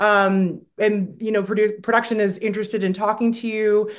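Against a quiet background, a woman uses a normal speaking voice at medium pitch and a moderate pace. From Canada. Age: 40s. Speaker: reality TV star. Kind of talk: casual interview.

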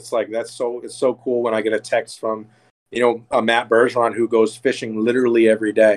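Fairly quick and flat in a monotone, a man's medium-pitched voice shows big swings in loudness. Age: 30s. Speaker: bait builder and school security manager. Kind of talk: casual chat.

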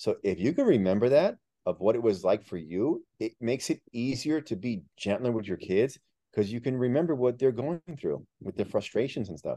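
A man at medium pitch speaks with a Miami accent at a moderate pace with lively intonation, the sound dry and close with no echo. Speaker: author and real estate agent. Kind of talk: casual interview.

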